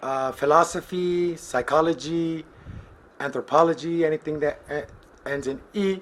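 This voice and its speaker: A man with an American accent talks at a fairly slow pace in an unremarkable speaking voice. His pitch is fairly high and his intonation fairly even. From US Midwest. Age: 30s. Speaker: collections agent. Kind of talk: casual self-introduction.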